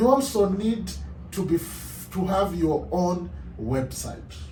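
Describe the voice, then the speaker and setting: A very slow pace with audible room echo. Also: man. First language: African language (English is third language). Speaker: translator. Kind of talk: tutorial.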